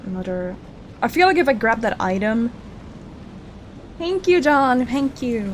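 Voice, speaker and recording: Mumbling at a fairly slow pace, a woman uses a high pitch with very wide pitch swings and long, frequent pauses. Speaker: VTuber streamer. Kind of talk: gameplay livestream commentary.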